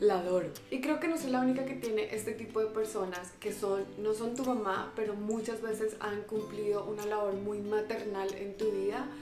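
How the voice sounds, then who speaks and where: Clear music plays behind a woman speaking in a Colombian accent. Her voice is fairly high-pitched, at a moderate pace with fairly even intonation. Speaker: vlogger. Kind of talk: emotional personal message to camera. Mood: warm, emotional, affectionate. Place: home room.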